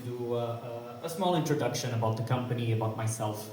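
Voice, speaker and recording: A man's medium-pitched voice holds fairly even intonation amid noticeable background noise and audible room echo. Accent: Portuguese. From Portugal, Porto. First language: Portuguese. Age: 30s. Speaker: community management lead at a crypto company. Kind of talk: conference talk. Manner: hesitant, many fillers.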